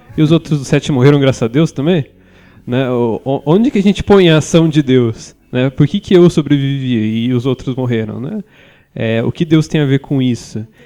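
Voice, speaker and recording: A man speaks in a plain, everyday voice, fairly high in pitch. He keeps a moderate pace with ordinary pitch variation. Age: 20s. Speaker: journalist and theologian. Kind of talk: casual chat.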